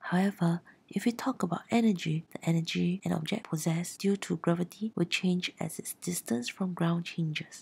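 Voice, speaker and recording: Somewhat breathy and fairly low in pitch, a woman speaks at a moderate pace with ordinary pitch variation and hardly any pauses. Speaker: science tutor. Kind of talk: educational explainer narration.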